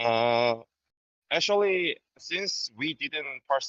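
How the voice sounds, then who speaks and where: A man speaks with a Korean accent. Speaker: fan guest. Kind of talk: reading from prepared script. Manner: hesitant, many fillers.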